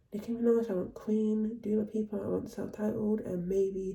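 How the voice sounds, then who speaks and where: Somewhat breathy and dark, mellow in tone, the voice keeps a fairly even intonation. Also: woman. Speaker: vlogger / vinyl collector. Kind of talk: casual vlog talk. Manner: fast.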